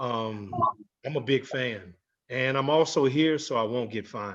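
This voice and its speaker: This is an unremarkable speaking voice. It moves at a fairly slow pace with ordinary pitch variation. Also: man, medium pitch for a man. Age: 40s. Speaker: entertainer, panelist. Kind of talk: panel introduction.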